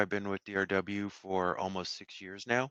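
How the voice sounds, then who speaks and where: This man has a fairly low pitch. He speaks with a slight Texas accent. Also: quiet background. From Houston, Texas. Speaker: software engineer presenting at user group. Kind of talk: technical talk. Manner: halting, many fillers.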